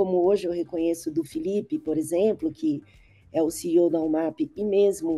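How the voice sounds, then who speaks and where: Her voice is fairly low in pitch with a dark, mellow tone, and the woman keeps a moderate pace and fairly even intonation. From Brazil. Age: 60s. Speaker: advertising strategist. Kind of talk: interview podcast.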